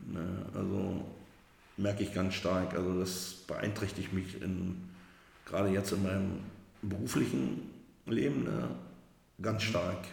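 A man's very deep, low voice with vocal fry, at a very slow pace with long, frequent pauses, ordinary pitch variation and audible room echo. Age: 50s. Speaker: recovering alcoholic. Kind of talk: personal testimony. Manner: halting.

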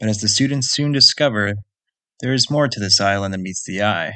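Against a quiet background, a man with a bright, sharp tone talks at a fairly low pitch with ordinary pitch variation. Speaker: podcast host. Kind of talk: scripted podcast intro and outro.

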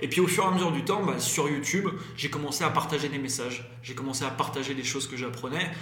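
Amid noticeable background noise and audible room echo, a man talks very fast in a fairly high pitch with ordinary pitch variation. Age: 20s. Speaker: entrepreneur and YouTuber. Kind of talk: interview. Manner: hesitant, many fillers.

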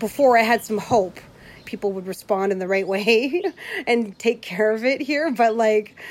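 A woman speaks fairly slowly in a plain, everyday voice, pitched fairly high, with ordinary pitch variation. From Plains Cree, Canada. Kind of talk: personal diary, reflective.

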